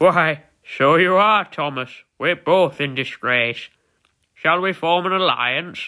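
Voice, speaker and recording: A put-on character voice moves at a fairly slow pace in a very clean recording with a silent background. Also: man, high pitch for a man. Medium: read story. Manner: grand, hearty.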